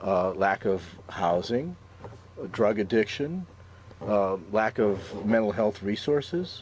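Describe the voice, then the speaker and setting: Speaking very slowly with long, frequent pauses, a man with a Chicago accent has a fairly low pitch. Noticeable background noise runs under his voice. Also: ordinary pitch variation, very even loudness. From Chicago, Austin neighborhood. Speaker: city council candidate, public defender. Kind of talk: talk show interview. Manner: halting, many fillers.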